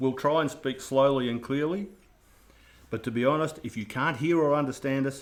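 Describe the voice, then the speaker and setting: At a moderate pace and medium pitch, a man talks in an Australian accent with ordinary pitch variation. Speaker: radio control hobbyist. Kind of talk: live stream build intro. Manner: casual, jokey.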